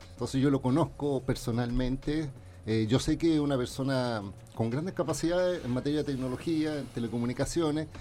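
With music in the background, a man talks at a fairly quick pace, his medium pitch showing ordinary variation. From Chile, Valparaíso. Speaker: lawyer and former telecom official, tech commentator. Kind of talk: radio talk show commentary.

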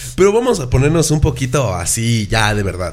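With an animated tone and very wide pitch swings, a man talks at a moderate pace amid audible room echo. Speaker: podcast host. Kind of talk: casual chat.

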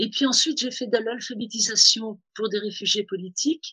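The woman's voice has a bright, sharp tone at a medium pitch. She speaks at a moderate pace, and the sound is dry and close with no echo. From Tunisia. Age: 60s. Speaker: fashion consultant. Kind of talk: interview. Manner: hesitant, many fillers.

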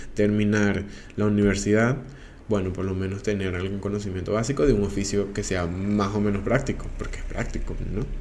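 A man speaks at a moderate pace in a fairly low voice. Audible room echo surrounds him. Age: 20s. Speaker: podcaster. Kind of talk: casual monologue. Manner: halting with fillers.

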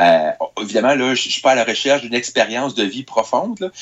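A man speaks at a moderate pace in a Quebec accent. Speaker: technology columnist. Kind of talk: radio chronicle.

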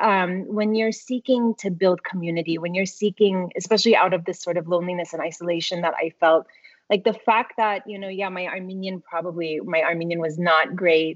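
Speaking in a plain, everyday voice, a woman of medium pitch with an American accent talks at a fairly quick pace, with fairly even intonation and hardly any pauses. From US, Tulsa, Oklahoma. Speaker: ethnomusicology professor. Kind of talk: interview. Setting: video call.

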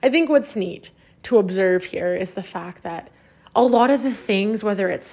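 At a moderate pace and fairly high pitch, a woman speaks with ordinary pitch variation in a very clean recording with a silent background. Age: 20s. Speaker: podcast host and entrepreneur. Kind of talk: solo reflective monologue. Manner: casual with frequent fillers.

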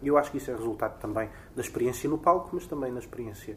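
A man at a medium pitch, somewhat breathy, at a very fast pace with ordinary pitch variation. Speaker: theatre director. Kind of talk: interview.

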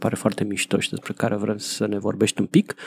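In a dry, close sound with no echo, a man speaks very fast. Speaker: podcast host. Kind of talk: casual chat.

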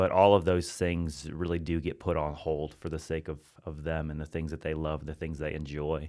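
On a very clean recording with a silent background, a man with an American accent speaks in a very deep, low pitch with monotone, flat intonation. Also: moderate pace, hardly any pauses. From US Midwest (Hannibal, Missouri). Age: 30s. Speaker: pastor. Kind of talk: casual interview. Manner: casual, playful.

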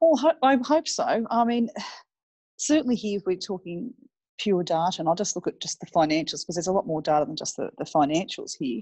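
Against a quiet background, a woman with an Australian accent and a dark, mellow tone talks at a fairly quick pace and medium pitch, her pitch swinging very widely in a dry, close sound with no echo. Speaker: city mayor, former army officer and IT professional. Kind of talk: interview. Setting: phone or remote call.

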